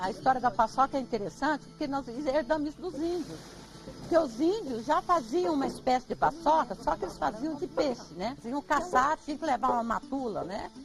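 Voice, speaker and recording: A woman speaks in a high voice at a moderate pace. Music sits in the background. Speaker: farm owner and traditional cook. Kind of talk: interview. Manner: animated.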